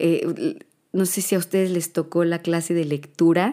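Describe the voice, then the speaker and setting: A woman's dark, mellow, fairly low voice at a fairly slow pace, in a very clean recording with a silent background. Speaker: podcaster. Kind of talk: personal monologue. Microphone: new microphone.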